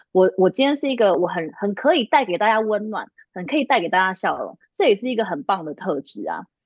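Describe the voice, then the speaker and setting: A woman talks at a fairly quick pace with a medium pitch. Her pitch swings very widely. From Taiwan. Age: 30s. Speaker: lingerie brand founder and career consultant. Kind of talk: casual interview.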